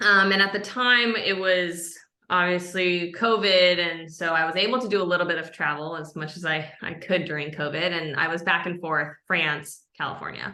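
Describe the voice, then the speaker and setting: A woman with an American accent speaks at a moderate pace in a fairly low pitch with a bright, sharp tone. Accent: American, from her American mother. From Japan (Tokyo). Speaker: product marketing lead. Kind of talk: podcast interview.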